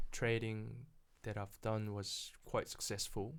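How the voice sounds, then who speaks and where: With a Korean accent, a man speaks in fairly even intonation. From South Korea, then New Zealand from age 14. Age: 30s. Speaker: property investor. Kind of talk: casual interview.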